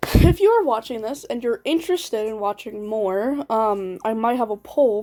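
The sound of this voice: Lively intonation shapes this unforced reading voice.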